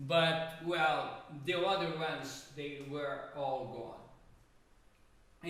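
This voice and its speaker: A man speaks at a fairly high pitch. Room echo is audible, along with noticeable background noise. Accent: Brazilian Portuguese. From Brazil, Rio de Janeiro. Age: 70s. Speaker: jazz pianist. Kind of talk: casual chat. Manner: halting.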